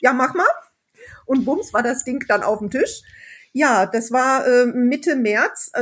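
A high-pitched woman at a fairly slow pace on a very clean recording with a silent background. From Sauerland, Germany. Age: 20s. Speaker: motorcyclist and regional group organizer. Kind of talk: casual chat.

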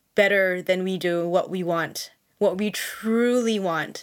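Medium in pitch with fairly even intonation, a woman speaks in an unremarkable speaking voice. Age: 40s. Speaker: online Islamic content creator. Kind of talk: casual chat.

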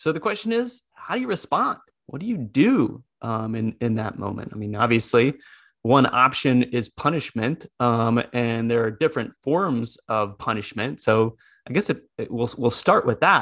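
An ordinary speaking voice from a medium-pitched man with an American accent, at a moderate pace, on a very clean recording with a silent background. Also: ordinary pitch variation. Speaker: podcast host, school psychology lecturer. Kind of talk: casual chat.

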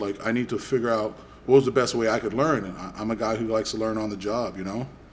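A man with an American accent talks at a fairly quick pace in a medium pitch. He has an ordinary speaking voice and fairly even intonation. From Boston. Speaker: podcast co-host, gym coach. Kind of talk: casual chat.

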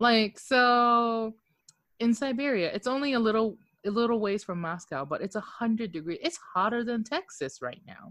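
This woman has an unremarkable speaking voice, pitched fairly high. She talks at a fairly slow pace with lively intonation. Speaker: podcast co-host. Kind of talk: casual chat.

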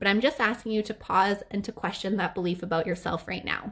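Speaking at a fairly quick pace over a quiet background, a woman with a medium pitch has a warm, upbeat tone. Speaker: podcast host. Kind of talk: solo podcast monologue.

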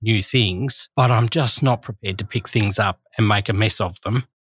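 In a very clean recording with a silent background and a dry, close sound with no echo, a man with an Australian accent speaks somewhat breathily at a fairly low pitch, moderate pace and fairly even intonation. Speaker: teacher. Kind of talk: casual chat.

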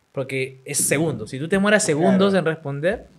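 A man talks at a fairly quick pace with lively intonation and an animated tone. His pitch sits fairly high. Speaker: web show host and interviewer. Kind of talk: casual chat. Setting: home studio.

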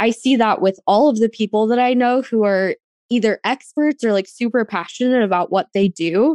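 A woman's fairly high voice with a dark, mellow tone and an American accent, lively intonation at a moderate pace, in a dry, close sound with no echo against a quiet background. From Arizona, US (rural Apache County). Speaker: podcast host. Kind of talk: casual interview chat.

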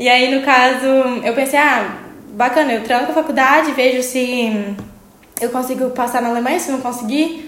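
Against noticeable background noise and audible room echo, a woman talks at a high pitch and moderate pace with fairly even intonation. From Brazil, small town in Minas Gerais. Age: 20s. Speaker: medical student. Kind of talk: casual interview.

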